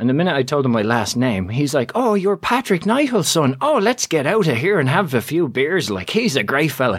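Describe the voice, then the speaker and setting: A man speaks at a fairly quick pace. His pitch swings very widely. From Dublin, Ireland. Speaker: author and public speaking coach. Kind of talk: casual interview.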